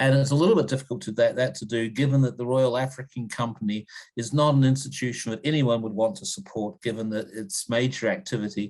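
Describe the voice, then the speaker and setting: Talking at a very fast pace with hardly any pauses, the speaker has a New Zealand accent and ordinary pitch variation in a very clean recording with a silent background. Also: man, medium pitch for a man. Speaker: history professor. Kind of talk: interview. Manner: halting, many repetitions and fillers.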